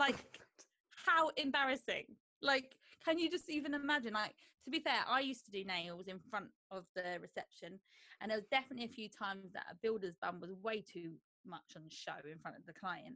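The voice has a bright, sharp tone and a South London accent. It moves at a fairly quick pace with very wide pitch swings. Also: woman, fairly high pitch for a woman, big swings in loudness. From Croydon, south London, England. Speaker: dog groomer and podcast co-host. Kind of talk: casual chat.

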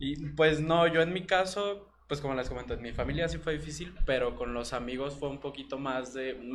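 A man with a fairly high voice speaks at a moderate pace, his pitch varying in an ordinary way, with audible room echo and noticeable background noise. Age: 20s. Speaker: guest. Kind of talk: testimony.

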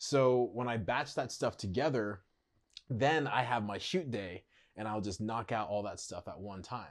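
An ordinary speaking voice with ordinary pitch variation is heard on a very clean recording with a silent background. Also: man. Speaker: social media content creator. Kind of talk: casual interview chat. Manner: conversational, filler-heavy.

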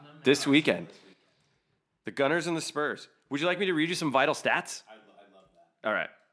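A man speaks very fast in a bright, sharp tone with vocal fry, big swings in loudness and long, frequent pauses. The recording is very clean, with a silent background. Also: fairly high pitch for a man, ordinary pitch variation. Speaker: podcast co-host. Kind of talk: casual chat.

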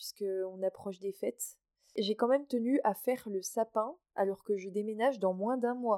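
A woman with a fairly high pitch speaks at a moderate pace with fairly even intonation, in a dry, close sound with no echo. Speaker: podcaster. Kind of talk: casual monologue. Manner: cheerful.

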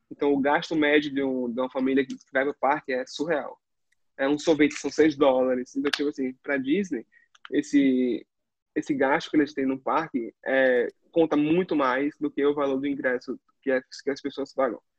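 This man's voice sits fairly high in pitch, delivered at a moderate pace. His intonation is flat and monotone. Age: 20s. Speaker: former theme park worker. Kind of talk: casual chat.

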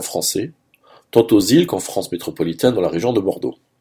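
A man talks at a very fast pace with music playing in the background. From Saint-Pierre-et-Miquelon. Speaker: radio columnist. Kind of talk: scripted radio commentary. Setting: radio studio.

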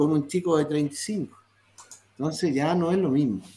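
Fairly slow speech from a man. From Chile. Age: 60s. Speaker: retired footballer. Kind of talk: interview.

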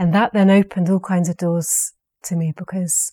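Speaking at a moderate pace, a woman with a southern English accent has a medium pitch, recorded with a dry, close sound with no echo. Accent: English (southern, educated). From England. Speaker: saga scholar, university researcher. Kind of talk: interview.

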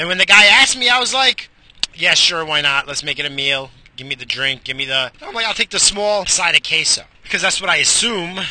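Through noticeable background noise, a man with a high pitch talks at a fairly quick pace with very wide pitch swings. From Portuguese heritage. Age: 40s. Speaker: podcast host. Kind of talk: casual monologue.

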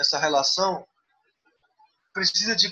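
A man speaks in a raised, projected voice at a moderate pace. His pitch varies in an ordinary way. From Xingu region, Pará, Brazil. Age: 20s. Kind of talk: interview. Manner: halting.

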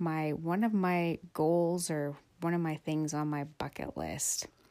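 The pitch of this woman's voice is fairly low. The recording is very clean and the background silent. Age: 40s. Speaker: podcaster. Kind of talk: casual monologue. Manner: halting, many fillers.

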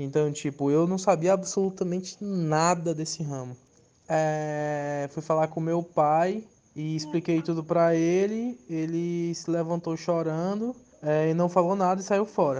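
A man at a high pitch, fairly slow pace and fairly even intonation. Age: 20s. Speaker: tattoo artist. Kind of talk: testimony.

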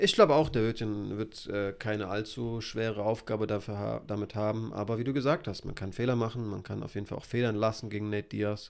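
A man with a fairly low pitch, a very fast pace and fairly even intonation. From Hesse, Germany. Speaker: MMA podcast co-host. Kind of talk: casual chat.

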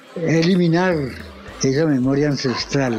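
A man with a fairly high pitch keeps a moderate pace while noticeable background noise sounds behind him. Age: 80s+. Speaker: visual artist. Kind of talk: interview testimony.

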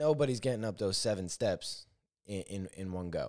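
In a very clean recording with a silent background, a man with a fairly low pitch speaks with lively intonation. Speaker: podcast host. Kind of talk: solo podcast monologue, reflective. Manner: reflective, conversational.

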